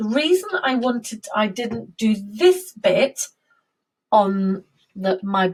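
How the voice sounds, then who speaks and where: Her British accent carries a fairly high-pitched voice as this woman speaks. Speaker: music teacher. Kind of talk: lesson for young children.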